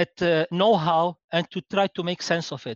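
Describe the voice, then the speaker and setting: At a very slow pace, a man speaks with a high pitch. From Lebanon. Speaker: advertising insights executive. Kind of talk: interview. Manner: halting, many fillers and repetitions.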